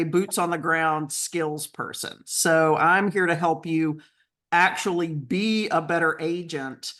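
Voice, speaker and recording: In a Southern US accent, a woman with a fairly low pitch talks at a very slow pace and fairly even intonation against a quiet background. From North Carolina. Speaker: real estate agent and coach. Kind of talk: webinar presentation.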